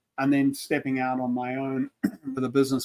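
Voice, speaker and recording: Heard in a dry, close sound with no echo, a man speaks at a medium pitch with a South African accent. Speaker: leadership consultant, former engineer. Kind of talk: casual panel chat.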